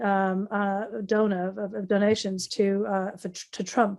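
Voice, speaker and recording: A woman's medium-pitched voice, dark and mellow in tone, with a North East English accent. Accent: broad North East English. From North East England. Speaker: foreign affairs specialist. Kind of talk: interview answer.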